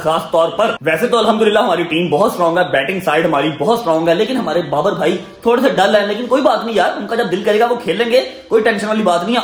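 A man talks at a fairly quick pace in a high pitch with ordinary pitch variation. Faint music plays in the background, and there is audible room echo. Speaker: vlogger. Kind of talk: casual vlog chat. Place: home room. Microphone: phone near.

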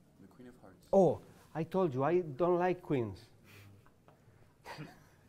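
A man with a Spanish accent, dark and mellow in tone, at a fairly slow pace, with ordinary pitch variation and big swings in loudness. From Spain. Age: 40s. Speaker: card magician. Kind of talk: magic performance. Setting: live show with audience. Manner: halting. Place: studio.

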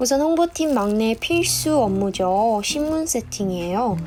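A woman's fairly high voice at a fairly slow pace, with music in the background. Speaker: new employee on a company PR team. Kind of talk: dubbed vlog voiceover narration. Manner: humorous, self-deprecating.

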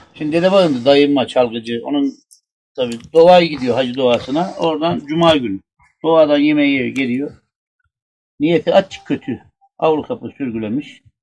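Fairly high-pitched for a man, he talks at a moderate pace with ordinary pitch variation and an Aegean accent. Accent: Aegean Turkish dialect. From Burdur, Turkey. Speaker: former village headman. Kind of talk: telling a true funny anecdote in a group. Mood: relaxed, humorous. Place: open country. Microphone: camera far.

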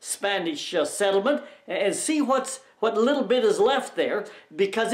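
There is audible room echo as a man speaks in a quiet background. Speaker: travelogue host. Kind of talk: casual travelogue introduction. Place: home room.

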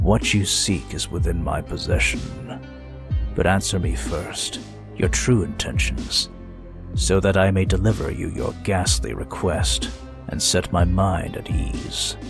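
Over loud background music, a man with a very deep, low pitch speaks at a fairly slow pace. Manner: solemn, formal, resolute.

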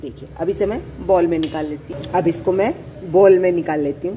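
At a fairly quick pace, a woman speaks with a fairly low pitch, a dark, mellow tone and ordinary pitch variation, over faint background noise.

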